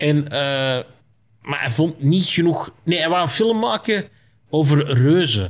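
Speaking very slowly, this man has a fairly high pitch and very wide swings in pitch. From Flanders, Belgium. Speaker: comedian. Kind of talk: casual chat.

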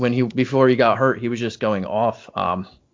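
With an ordinary speaking voice, a man talks at a moderate pace and medium pitch, using ordinary pitch variation. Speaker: basketball writer and analyst. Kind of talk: casual chat.

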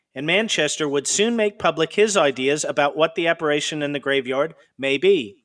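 A man speaks in a solemn tone with ordinary pitch variation and hardly any pauses. The recording is very clean, with a silent background. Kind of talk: true-crime horror narration. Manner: solemn, eerie, building suspense.

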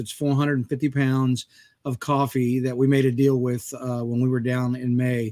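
A man's normal speaking voice at medium pitch, fairly even in intonation, at a moderate pace. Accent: American. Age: 50s. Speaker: podcast host and coffee business owner. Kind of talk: casual chat.

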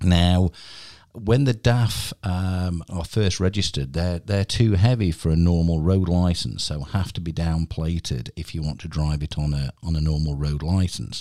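With a British accent, a man speaks at a very deep, low pitch in a dark, mellow tone on a very clean recording with a silent background. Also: ordinary pitch variation, moderate pace. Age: 50s. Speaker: podcast host. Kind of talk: casual interview. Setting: studio.

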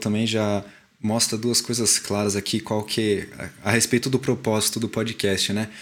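On a very clean recording with a silent background, a man speaks at medium pitch in a plain, everyday voice. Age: 20s. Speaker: podcast co-host, mechanical engineer. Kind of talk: casual chat.

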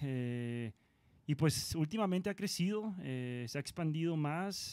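A man's ordinary speaking voice, fairly high in pitch, at a fairly slow pace. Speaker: rock musician. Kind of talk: casual chat.

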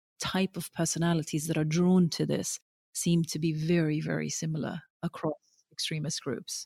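A woman's very deep, low voice, dark and mellow in tone, somewhat breathy, with fairly even intonation. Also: dry, close sound with no echo. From Norway (Oslo), Pakistani-Afghan family. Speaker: documentary filmmaker. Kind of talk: interview conversation. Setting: remote call over the internet. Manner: repetitive, halting starts. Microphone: spotty audio, sound problems.

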